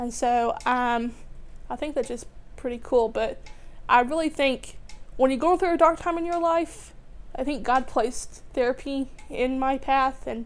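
This woman talks at a moderate pace with ordinary pitch variation. Her pitch is high. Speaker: graduate student. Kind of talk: testimony. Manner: halting, many fillers. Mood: warm, reflective. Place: home room.

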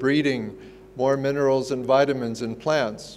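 A man speaks at a moderate pace with monotone, flat intonation. Light background noise sits under the voice. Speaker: keynote speaker. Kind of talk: keynote speech. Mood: warm, smiling storytelling. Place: hall. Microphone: lapel.

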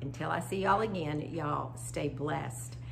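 A woman talks at a fairly slow pace, her pitch low for a woman, with ordinary pitch variation and vocal fry.

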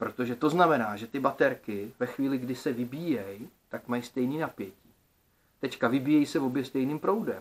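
Here a man talks at a fairly quick pace. His pitch is medium, with ordinary variation. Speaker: DIY electronics video creator. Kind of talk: casual vlog monologue. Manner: colloquial, lots of filler words. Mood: thoughtful, slightly frustrated. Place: home room. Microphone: phone near.

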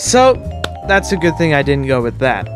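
A man talks while clear music plays behind him. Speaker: gaming video creator. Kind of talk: casual commentary. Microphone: studio mic.

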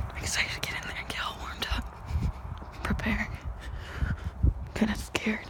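A whispering woman with long, frequent pauses. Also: moderate pace. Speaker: vlogger. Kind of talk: casual talk to camera. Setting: outdoors, cold morning walk. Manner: whispered, soft. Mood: excited and nervous. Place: street. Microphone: phone near.

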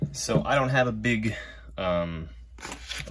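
A man's voice has a bright, sharp tone. Vocal fry runs through it. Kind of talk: tutorial. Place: workshop. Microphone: phone near.

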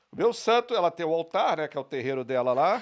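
A man talks at a fairly quick pace in a playful tone with lively intonation. The background is quiet. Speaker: podcast co-host; podcast guest or host. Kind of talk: casual chat. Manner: joking, playful. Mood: humorous, relaxed anecdote. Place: studio. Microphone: studio mic.

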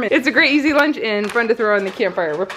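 Over light background noise, a woman speaks at a very fast pace. Her intonation is lively. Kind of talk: casual vlog chat. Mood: cheerful, light laughter. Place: home room. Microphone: phone near.

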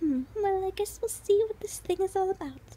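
A female-sounding put-on character voice squeaks at an extremely high pitch over clear background noise. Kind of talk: formal royal address. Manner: grand, formal.

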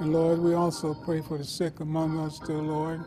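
A man speaks with monotone, flat intonation. Faint music plays in the background. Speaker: church minister leading prayer. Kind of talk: prayer. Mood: solemn, earnest. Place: church.

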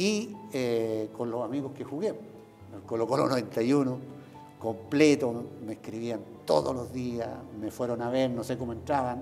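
With ordinary pitch variation and a fairly slow pace, a man talks while faint music sits in the background. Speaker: interviewee. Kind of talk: interview answer. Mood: grateful, emotional recollection. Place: office. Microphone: lapel.

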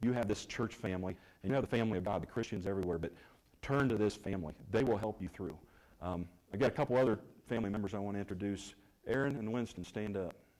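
A man's fairly low voice at a very fast pace, with ordinary pitch variation, against a quiet background. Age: 50s. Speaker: church member giving testimony. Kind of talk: testimony. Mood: warm, grateful, heartfelt. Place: church.

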